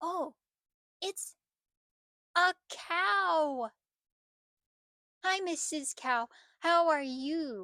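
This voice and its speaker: In a cartoonish character voice, a woman speaks high-pitched and very slowly. She leaves long, frequent pauses. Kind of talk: children's puppet show. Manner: upbeat, excited.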